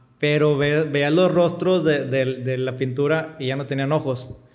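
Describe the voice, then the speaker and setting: There is audible room echo and noticeable background noise around this man. His intonation stays fairly even. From Monterrey, northern Mexico. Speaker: podcast host. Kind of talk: interview.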